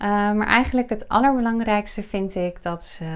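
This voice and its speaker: A woman's ordinary pitch variation is heard against a quiet background. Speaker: video host and business coach. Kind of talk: interview intro and questions. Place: office.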